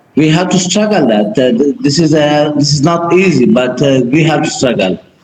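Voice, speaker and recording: Noticeable background noise sits behind a man's voice. He speaks at a fairly high pitch with ordinary pitch variation. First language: Dari. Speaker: documentary filmmaker. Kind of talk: Q&A in online workshop. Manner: halting.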